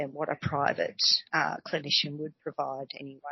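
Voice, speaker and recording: A woman speaks with an Australian accent at a fairly quick pace. Her pitch is very deep and low. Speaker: community health nurse. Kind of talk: casual interview explaining health topic. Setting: shared office, recorded together. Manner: self-conscious, a little nervous.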